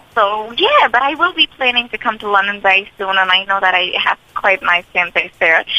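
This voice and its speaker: With hardly any pauses, a woman talks at a moderate pace in an American accent, her intonation lively over noticeable background noise. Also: medium pitch for a woman. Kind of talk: radio interview.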